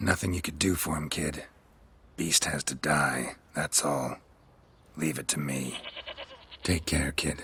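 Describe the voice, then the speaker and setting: A man uses a put-on character voice, raspy and very deep in pitch. He talks at a fairly slow pace with long, frequent pauses. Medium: video game. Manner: terse, dry.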